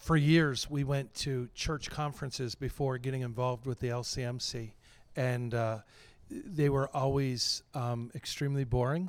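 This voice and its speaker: On a very clean recording with a silent background, a man speaks at a medium pitch and moderate pace with fairly even intonation, an unremarkable speaking voice. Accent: American. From western Pennsylvania. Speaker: pastor. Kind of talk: interview. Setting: convention.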